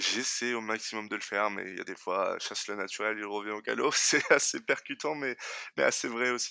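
Moderate-paced male speech, very clean recording, silent background. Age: 20s. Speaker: logistics worker and design student sharing his experience of hypersensitivity. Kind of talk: personal testimony. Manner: halting, many repetitions.

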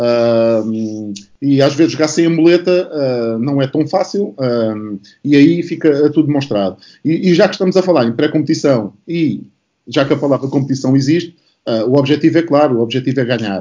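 A man with an ordinary speaking voice, moderate pace and ordinary pitch variation. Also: fairly high pitch for a man. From Portugal, Setúbal / Barreiro. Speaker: basketball coach. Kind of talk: panel discussion.

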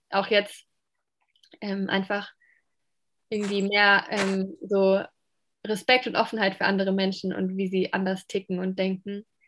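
A woman talks at a moderate pace, leaving long, frequent pauses. The recording is very clean, with a silent background. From Germany, Palatinate (Pfalz). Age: 20s. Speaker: social work student. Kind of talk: interview.

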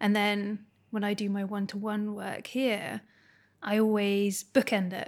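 Recorded very cleanly against a silent background, a woman speaks at a medium pitch with a Scottish accent. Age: 30s. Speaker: art therapist. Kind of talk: casual chat.

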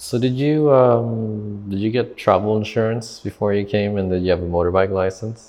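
With hardly any pauses, a man speaks at a moderate pace in a fairly low pitch with ordinary pitch variation. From Canada. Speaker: podcast host, travel vlogger. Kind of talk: casual chat. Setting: in person, coworking space. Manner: halting.

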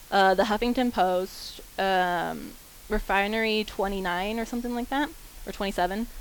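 With an American accent, a woman speaks in a normal speaking voice at medium pitch, moderate pace and ordinary pitch variation. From Kansas, Wichita. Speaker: college student. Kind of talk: group discussion.

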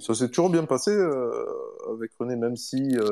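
The speaker is a man. His tone is dark and mellow. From southern France, Montpellier area. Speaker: former professional footballer. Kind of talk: casual interview.

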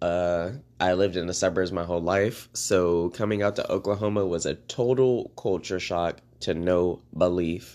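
The background stays quiet. Fairly even intonation marks this speech with an American accent. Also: man, very deep, low pitch for a man, moderate pace, hardly any pauses. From Maryland, US East Coast. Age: 20s. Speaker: podcaster. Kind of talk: casual monologue. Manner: hesitant, many fillers.

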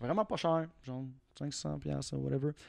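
Over a quiet background, a man with a Quebec accent speaks fairly slowly at a medium pitch. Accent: Québécois French. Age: 30s. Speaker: car enthusiast. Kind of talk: casual chat.

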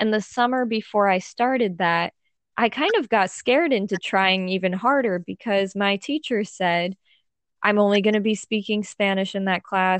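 The speaker uses fairly even intonation at a moderate pace with an American accent. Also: woman. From United States. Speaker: language learning YouTuber. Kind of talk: casual chat.

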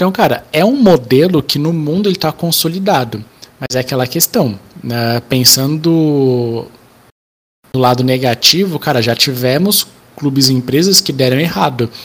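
At a moderate pace, this is an unremarkable speaking voice with ordinary pitch variation. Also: man, fairly high pitch for a man. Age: 20s. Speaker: football podcast co-host. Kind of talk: casual chat.

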